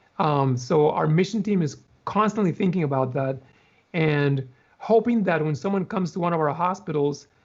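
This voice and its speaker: Here is a man with an unremarkable speaking voice and a fairly high pitch. He moves at a moderate pace with ordinary pitch variation. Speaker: hospital chaplain and mission team member. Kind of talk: casual interview answer, talking about his work. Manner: thoughtful, conversational, with filler words.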